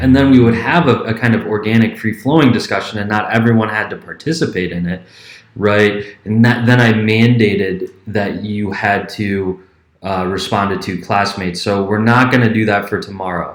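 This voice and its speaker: Talking at a moderate pace, a man uses a fairly low pitch. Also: fairly even intonation. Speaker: history professor. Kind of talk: class announcement video. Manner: speeds up when passionate.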